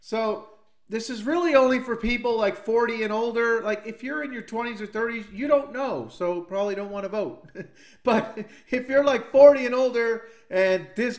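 A man speaks at a moderate pace with an extremely high pitch and ordinary pitch variation. The background is quiet. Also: big swings in loudness. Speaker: video creator. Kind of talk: casual vlog chat. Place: home room.

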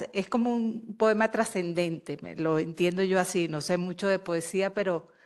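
A woman in a normal speaking voice, medium in pitch, at a moderate pace over a quiet background. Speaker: audience member. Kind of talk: question from audience. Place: hall.

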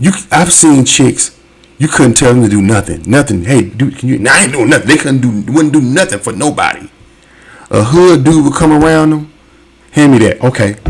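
Lively intonation carries a moderate pace over noticeable background noise. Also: man, medium pitch for a man. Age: 40s. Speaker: YouTube reaction host. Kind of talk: casual commentary.

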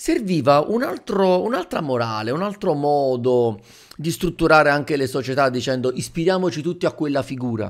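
Lively intonation from a man with a fairly high pitch, at a moderate pace against a quiet background. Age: 30s. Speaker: YouTuber and teacher; manga commentator streamer. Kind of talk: video commentary. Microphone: studio mic.

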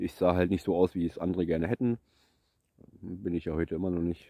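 A very deep, low man's voice with a dark, mellow tone, very fast and monotone with flat intonation, in a dry sound with no echo. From eastern Germany, Brandenburg. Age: 30s. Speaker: vlogger; vlogger telling his life story. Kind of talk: personal life story monologue. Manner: halting. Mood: reflective, serious. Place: forest. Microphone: phone near.

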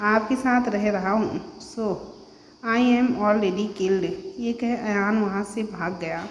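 The text is read aloud. A natural voice carries it.

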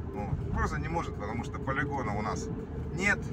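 Loud background noise accompanies a man speaking at a fairly quick pace. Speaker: driver vlogger. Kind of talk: casual vlog chat. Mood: ironic, mildly critical. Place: car. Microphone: phone near.

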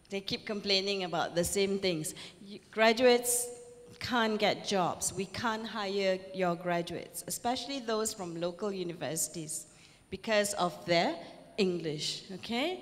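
A woman in a Malaysian accent, at a fairly slow pace, with ordinary pitch variation. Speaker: professor and keynote speaker; professor, keynote speaker. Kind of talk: lecture. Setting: stage with audience. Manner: animated. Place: hall. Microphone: handheld.

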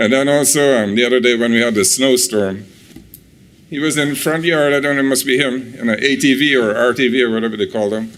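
At a very fast pace, a man speaks with medium pitch and fairly even intonation amid audible room echo. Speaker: resident giving public comment. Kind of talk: public comment at county meeting. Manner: halting, many fillers.

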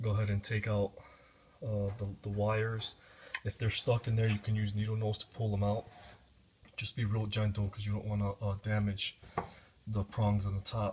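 Amid noticeable background noise, a man with a fairly low pitch speaks at a moderate pace in a somewhat breathy, monotone, flat voice, with long, frequent pauses. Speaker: home repair demonstrator. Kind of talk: tutorial. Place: kitchen. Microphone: phone near.

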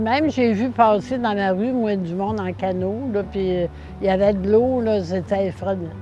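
A woman talks at a moderate pace with music in the background. The sound is dry, with no echo. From Quebec, Beauce region. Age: 80s+. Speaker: flood victim. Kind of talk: interview answer. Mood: emotional, reminiscing.

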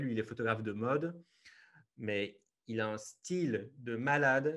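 Ordinary pitch variation from a male speaker, the background quiet. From Belgium, Liège region; Belgium. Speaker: travel photographer; podcast guest. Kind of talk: interview. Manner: hesitant, many fillers. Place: home room. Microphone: earbuds.

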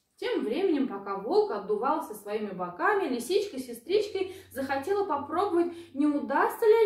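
A woman speaks at a moderate pace in a high pitch with big pitch swings and a slightly mellow tone. Audible room echo surrounds her voice.

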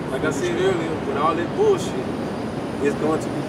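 Loud background noise sits under speech delivered at a fairly quick pace with ordinary pitch variation. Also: man. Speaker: street preacher. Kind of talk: sermon. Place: street. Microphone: camera far.

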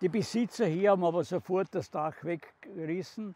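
A man with a Styrian accent and a high pitch speaks at a moderate pace with ordinary pitch variation, in a dry sound with no echo. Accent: Styrian Austrian German. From southern Styria, Austria. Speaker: contemporary witness, former mayor. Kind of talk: documentary guided narration. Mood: calm, serious recollection. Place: open country.

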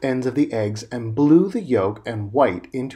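Lively intonation colors a natural reading voice.

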